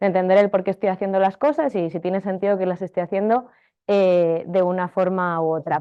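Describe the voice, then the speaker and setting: The woman speaks at a fairly quick pace. Her pitch varies in an ordinary way. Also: medium pitch for a woman. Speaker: marketing technology consultant and teacher. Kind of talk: workshop lecture. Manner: fast.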